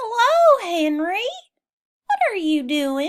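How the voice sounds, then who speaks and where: In a put-on character voice, a woman sounds squeaky and extremely high in pitch, talking at a very slow pace. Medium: read story.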